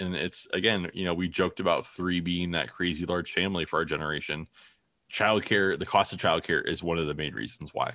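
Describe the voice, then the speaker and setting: A man speaks at a fairly quick pace with a Midwestern American accent and a very deep, low pitch. His tone is bright and sharp, his intonation fairly even, and the background quiet. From Ohio (Toledo). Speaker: podcast co-host, father. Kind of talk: casual chat.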